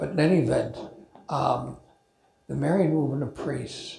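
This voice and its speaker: Room echo can be heard as the talking proceeds at a moderate pace. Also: man. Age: 80s+. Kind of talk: informal talk to a men's group. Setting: church talk, also streamed on video call. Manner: halting, with false starts.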